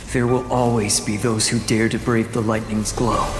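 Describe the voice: A man does a cartoonish character voice at a medium pitch and moderate pace. There is clear echo and loud background noise.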